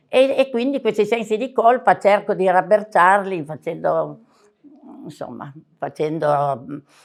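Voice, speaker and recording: A woman speaks at a fairly slow pace and a medium pitch, with long, frequent pauses, very wide pitch swings and big swings in loudness. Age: 80s+. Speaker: book editor, daughter of diarist. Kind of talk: book presentation talk. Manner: halting, losing the thread.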